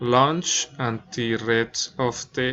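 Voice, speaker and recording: Someone speaks with a Spanish accent at a very slow pace, with noticeable background noise. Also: man. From Colombia, Bogotá. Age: 20s. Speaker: student and nursing assistant. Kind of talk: class presentation, reading prepared text. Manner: halting, non-fluent English.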